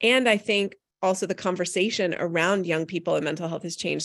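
This is a normal speaking voice with fairly even intonation at a fairly quick pace. The background is quiet. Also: woman. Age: 40s. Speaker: parenting author and media expert. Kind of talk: live podcast interview. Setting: live broadcast at a conference.

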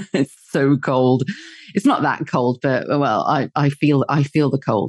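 In an English accent, the speaker goes at a fairly slow pace with ordinary pitch variation and very even loudness, sounding dry and close with no echo. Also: woman, very deep, low pitch for a woman. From northern England. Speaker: podcast guest with a radio background. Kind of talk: casual chat.

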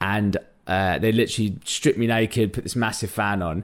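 In a London accent, a man talks at a very fast pace with a fairly low pitch and ordinary pitch variation, recorded very cleanly against a silent background. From North London. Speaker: podcast co-host. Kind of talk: casual chat.

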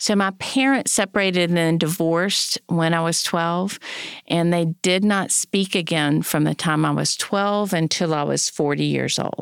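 In an ordinary speaking voice, a woman with fairly low pitch talks at a moderate pace with very even loudness and ordinary pitch variation, on a very clean recording with a silent background. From North Carolina. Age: 50s. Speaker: family law attorney and podcast host. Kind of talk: casual chat.

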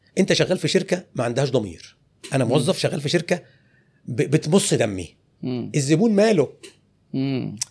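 Vocal fry with very wide pitch swings. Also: man, fairly high pitch for a man, moderate pace. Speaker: clothing retail business owner. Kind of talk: interview.

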